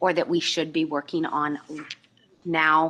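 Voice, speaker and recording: Against a quiet background, a woman speaks loudly in a very deep, low voice with a bright, sharp tone. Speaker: task force member. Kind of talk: public meeting remarks. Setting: public meeting.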